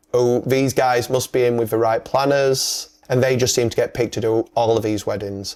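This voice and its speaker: With a Yorkshire accent, a man speaks at very even loudness, with hardly any pauses. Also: medium pitch for a man, moderate pace. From northern England, Yorkshire. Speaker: wedding videographer. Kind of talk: casual podcast chat. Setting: podcast. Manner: animated.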